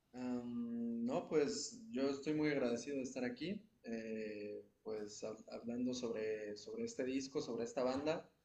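This man speaks at a fairly slow pace with hardly any pauses. His pitch is medium, with ordinary variation. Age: 20s. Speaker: jazz saxophonist. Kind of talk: interview. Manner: halting.

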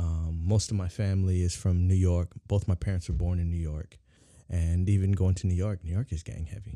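On a very clean recording with a silent background, a man speaks at a fairly quick pace in a very deep, low pitch with a dark, mellow tone and fairly even intonation. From San Diego, California. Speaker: community activist. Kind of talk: casual chat. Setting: studio.

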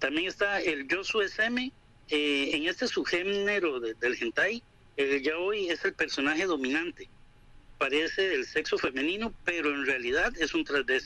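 A man with a high-pitched, bright, sharp voice uses lively intonation at a fairly slow pace, his loudness very even throughout. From Costa Rica. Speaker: manga and anime enthusiast. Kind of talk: informative talk.

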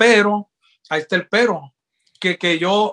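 Recorded with a dry, close sound with no echo and a quiet background, a man speaks at a fairly slow pace with ordinary pitch variation. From Sinaloa, Mexico (Guasave). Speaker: trombonist. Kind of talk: interview. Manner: halting, many repeated words.

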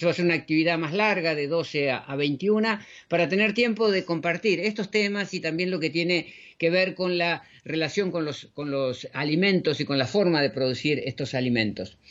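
A high-voiced man speaks at a moderate pace, his pitch varying in an ordinary way. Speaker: radio host, natural health educator. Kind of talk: radio show presentation. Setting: studio. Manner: halting with fillers.

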